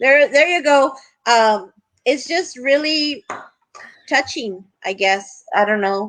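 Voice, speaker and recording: At a fairly slow pace, a woman speaks with lively intonation in a high pitch. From Texas, Eagle Pass (border town). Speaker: retired teacher, direct sales team member. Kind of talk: casual chat.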